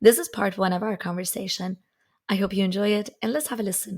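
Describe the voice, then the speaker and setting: A woman speaks at a medium pitch, somewhat breathy, with fairly even intonation. The recording is very clean, with a silent background. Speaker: podcast host and software developer. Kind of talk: casual interview. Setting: podcast recording.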